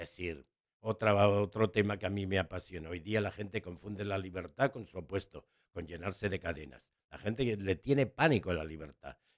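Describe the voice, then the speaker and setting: Over a silent background in a very clean recording, a man with a very deep, low pitch speaks at a moderate pace, showing ordinary pitch variation and big swings in loudness. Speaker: educator and writer. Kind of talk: interview conversation.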